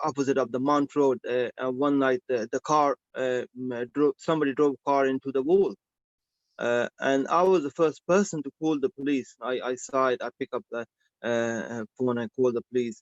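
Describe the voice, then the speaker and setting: At a medium pitch and moderate pace, a man talks with ordinary pitch variation in a dry, close sound with no echo. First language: not English. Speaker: licence applicant, pizza shop operator. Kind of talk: licensing hearing testimony. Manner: halting, many fillers and repetitions.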